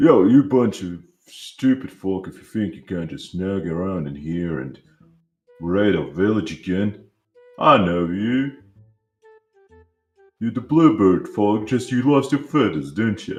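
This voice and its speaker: A man puts on a character voice, fairly low in pitch and fairly slow, with long, frequent pauses. Faint music plays in the background. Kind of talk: slangy, street-like. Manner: silly, aggressive.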